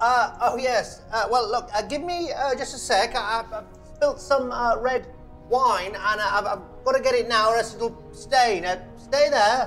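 A man's extremely high pitch with ordinary pitch variation, at a fairly slow pace over faint music in the background. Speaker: actor in a comedy drama. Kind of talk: scripted drama dialogue. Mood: nervous, flustered, hesitant. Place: home room.

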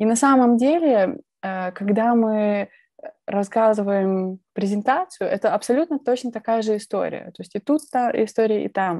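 Her fairly high voice has a dark, mellow tone and ordinary pitch variation, moving at a fairly slow pace with a dry sound, no echo and a quiet background. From Belarus, Minsk; Belarus. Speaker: presentation skills speaker; speaker. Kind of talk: conference talk. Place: home room. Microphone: earbuds.

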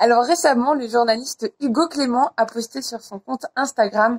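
Against a quiet background, a woman with a high pitch speaks at a moderate pace, with ordinary pitch variation. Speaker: youtuber. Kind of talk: casual vlog chat. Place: garden. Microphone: phone near.

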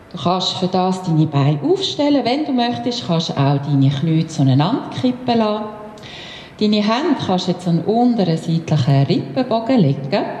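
A woman speaks at a moderate pace, with light background noise and audible room echo. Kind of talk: guided exercise instruction. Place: gym.

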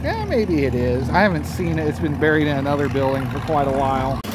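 Loud noise fills the background. The sound is dry, with no echo. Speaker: video creator filming a tractor show. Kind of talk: casual walk-around narration. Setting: outdoors at tractor show. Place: open country. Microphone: phone near.

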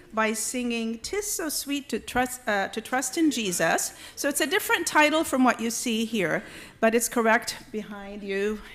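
Ordinary pitch variation marks a woman's fairly slow speech. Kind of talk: church announcements. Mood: cheerful, lightly amused. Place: church. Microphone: podium.

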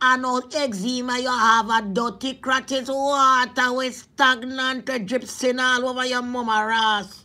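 In a Jamaican accent, a woman talks at a fairly slow pace with a high pitch, a bright, sharp tone and monotone, flat intonation. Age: 40s. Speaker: vlogger. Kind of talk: casual vlog monologue; preaching. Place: home room. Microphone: phone near.

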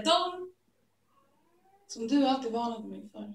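Against a quiet background with audible room echo, a woman talks at a moderate pace with a high pitch. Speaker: slam poet. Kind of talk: spoken word poetry performance. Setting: live stage, theatre audience. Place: stage. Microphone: camera far.

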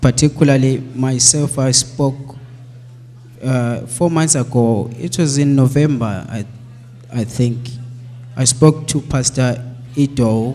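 A man speaks at a very slow pace, leaving long, frequent pauses. Faint music plays in the background. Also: fairly even intonation. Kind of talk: testimony. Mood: grateful, earnest. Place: church. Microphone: handheld.

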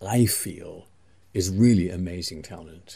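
In an English accent, a man speaks at a very slow pace, his very deep, low voice dark and mellow in tone. He sounds somewhat breathy, with ordinary pitch variation. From England. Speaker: interviewer. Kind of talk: interview.

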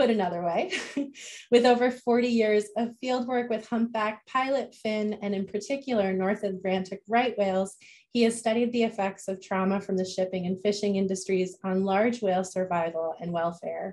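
Pitch varies in an ordinary way while the speech keeps a moderate pace. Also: woman. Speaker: event host. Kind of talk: speaker introduction. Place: home room. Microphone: video call.

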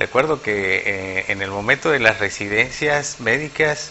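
A man's pitch varies in an ordinary way as he speaks, with light noise behind him. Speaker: guest. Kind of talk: interview answer. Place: studio. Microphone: lapel.

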